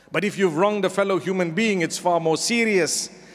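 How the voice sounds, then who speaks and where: This man's voice is high in pitch with ordinary pitch variation. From Zimbabwe. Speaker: Islamic scholar giving a sermon. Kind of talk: Friday sermon / religious lecture. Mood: calm, earnest exhortation. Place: hall. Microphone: handheld.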